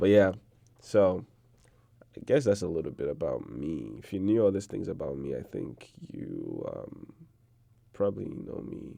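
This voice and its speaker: A man with a Nigerian accent speaks at a fairly slow pace, leaving long, frequent pauses, and his loudness swings widely. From Nigeria, Igbo region. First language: Igbo. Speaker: podcast guest, student. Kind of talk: casual interview chat.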